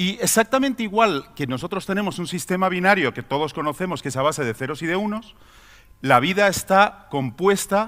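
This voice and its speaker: A man with a high voice talks at a fairly quick pace with lively intonation. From Spain. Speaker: pharmaceutical executive. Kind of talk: conference talk. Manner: halting, many fillers and repetitions.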